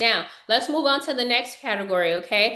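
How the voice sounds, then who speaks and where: Room echo is audible. A woman speaks in a fairly high pitch. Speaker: financial educator. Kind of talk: webinar lecture. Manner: fast.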